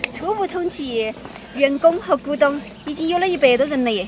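A woman's high-pitched voice sounds dry with no echo, over noticeable background noise. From Chongqing countryside, China. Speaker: rural vlogger and farmer. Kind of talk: casual vlog talk to camera. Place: street. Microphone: phone near.

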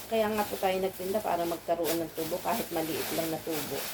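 Noticeable background noise is present. Over it, a woman speaks. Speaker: vlogger and small shop owner. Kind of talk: casual vlog narration. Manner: halting; polite.

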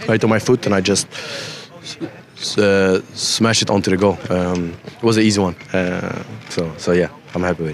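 Against noticeable background noise, a man speaks at a moderate pace with long, frequent pauses. His pitch is very deep and low, his intonation fairly even. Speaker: professional footballer. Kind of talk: post-match interview answer.

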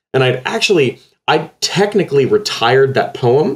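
Lively intonation from a man with an American accent. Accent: slight Texas accent when very tired. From Texas. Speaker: poet. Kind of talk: interview. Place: home room. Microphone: earbuds.

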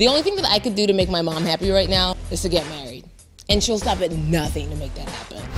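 Very fast speech with big swings in loudness, music playing in the background. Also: woman. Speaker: comedian, actress. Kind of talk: sitcom dialogue.

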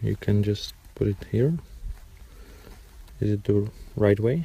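With a dark, mellow, somewhat breathy tone, a man speaks at a fairly low pitch with lively intonation in a dry sound with no echo. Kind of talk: casual vlog chat. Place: open country. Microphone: phone near.

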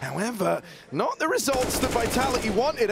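Over noticeable background noise, a man talks at a fairly quick pace in an animated, excited tone. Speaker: esports caster. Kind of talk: live esports commentary. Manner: animated, excited play-by-play; conversational analysis between rounds.

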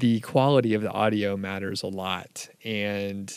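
A plain, everyday voice with fairly even intonation comes through in a dry sound with no echo against a quiet background. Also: man. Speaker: podcast host. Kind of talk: casual podcast monologue. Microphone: handheld.

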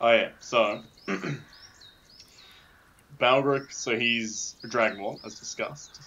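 In a room with audible echo, a man speaks slowly in a bright, sharp tone with ordinary pitch variation. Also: medium pitch for a man.

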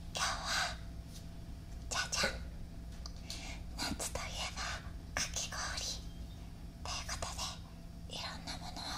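A woman is speaking. Her pace is fairly slow. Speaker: ASMR YouTuber. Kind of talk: casual ASMR eating talk. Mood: cheerful, playful. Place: home room.

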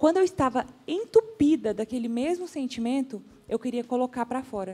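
A woman's high-pitched voice with a dark, mellow tone, at a moderate pace. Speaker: social media influencer. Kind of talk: TV talk show panel discussion. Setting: TV studio.

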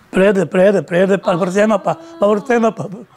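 With music playing in the background, a man talks at a moderate pace in a high pitch. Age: 80s+. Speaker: farmer and bull breeder. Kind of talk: interview answer.

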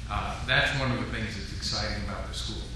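A man speaks against noticeable background noise. Strong room echo surrounds his voice. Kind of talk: welcome speech. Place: hall. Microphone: podium.

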